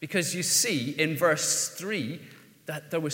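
A man with an Irish accent, speaking at a fairly slow pace. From Ireland. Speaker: pastor. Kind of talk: sermon. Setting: church. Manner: halting.

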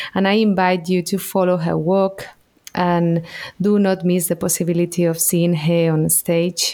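A woman with a Spanish accent and a dark, mellow tone, medium in pitch, monotone and flat, at a moderate pace. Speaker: podcast host, actress. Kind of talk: interview; scripted outro. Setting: remote call.

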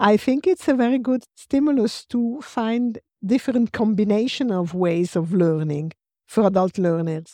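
Over a quiet background, a woman with an Italian accent speaks at a fairly high pitch and a moderate pace, with lively intonation. Her tone is dark and mellow, and the sound is dry and close with no echo. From Rome, Italy. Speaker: transactional analyst trainer. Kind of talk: panel discussion.

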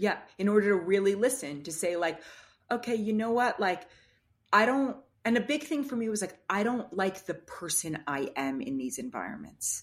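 A woman at a medium pitch with an American accent, a moderate pace and very wide pitch swings. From US Northeast, Manhattan. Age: 40s. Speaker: astrologer. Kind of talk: casual chat.

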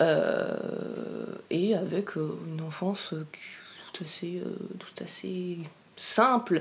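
A very slow pace with long, frequent pauses and audible room echo. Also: woman. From French Alps (Briançon, Hautes-Alpes). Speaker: interviewee sharing life story. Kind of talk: personal interview, testimony. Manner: halting, many hesitations.

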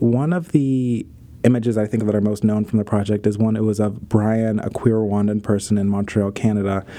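This man's voice is fairly low, with a dark, mellow tone and an American accent. He talks at a fairly quick pace. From US, Pittsburgh. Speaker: photographer and artist. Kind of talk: interview conversation.

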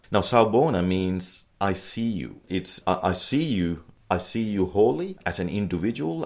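The recording is very clean, its background silent. A man talks in a very deep, low voice. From Sri Lanka. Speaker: productivity consultant and author. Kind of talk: interview.

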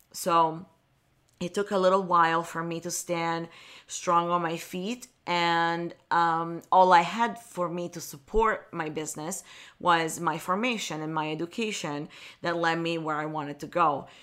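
A woman with an Italian accent speaks at a fairly slow pace, her fairly low pitch held to fairly even intonation. Her loudness swings widely. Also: very clean recording, silent background. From Italy, Milan. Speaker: wedding photographer, podcast host. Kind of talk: motivational solo podcast talk.

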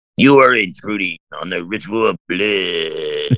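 A man puts on a character voice, speaking at a fairly slow pace with a fairly low pitch. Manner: over-dramatized, ominous.

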